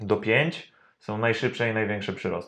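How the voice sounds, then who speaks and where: A man talks at a medium pitch, and the background stays quiet. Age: 30s. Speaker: personal trainer. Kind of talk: interview. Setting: studio.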